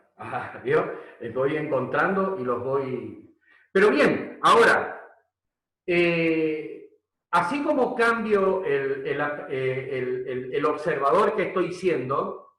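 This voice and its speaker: A man talks at a very slow pace. Room echo is clearly audible. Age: 60s. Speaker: leadership coach. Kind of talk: webinar lecture. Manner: hesitant, many fillers.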